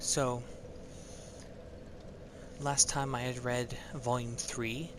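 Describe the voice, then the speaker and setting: A man at a medium pitch amid noticeable background noise. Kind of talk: casual talk to camera, intro to a reading. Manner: hesitant, stuttering, many filler words.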